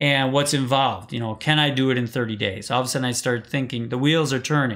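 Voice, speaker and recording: With a Wisconsin accent, a man speaks at a fairly quick pace and medium pitch, with fairly even intonation. The recording is very clean, with a silent background. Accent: Wisconsin accent, self-described as weird. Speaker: live-stream coach on social media marketing. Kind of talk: live stream talk. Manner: casual, filler-heavy.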